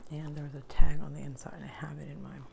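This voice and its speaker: Speech at a moderate pace comes through with noticeable background noise present. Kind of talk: ASMR thrift haul ramble to camera. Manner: soft whispering with gum chewing.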